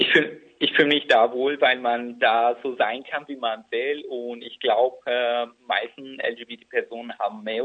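A man's fairly slow, monotone delivery with flat intonation. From Iraqi Kurdistan. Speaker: activist and blogger. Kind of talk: interview. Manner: halting.

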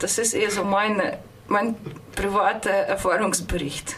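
In a space with audible room echo and noticeable background noise, a woman with a fairly high pitch speaks at a moderate pace with ordinary pitch variation. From Russia, St. Petersburg. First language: Russian (speaking German). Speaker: radio host. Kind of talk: personal account on radio. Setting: studio.

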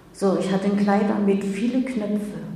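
A woman's medium-pitched voice with fairly even intonation, audible room echo and noticeable background noise. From Germany, Magdeburg. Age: 70s. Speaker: Holocaust-era survivor, eyewitness. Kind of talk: public talk, testimony. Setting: lecture with audience.

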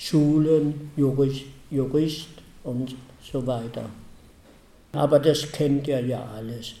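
A man with a dark, mellow tone, fairly high pitch, very slow pace, and audible room echo. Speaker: Holocaust survivor and eyewitness speaker. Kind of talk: testimony.

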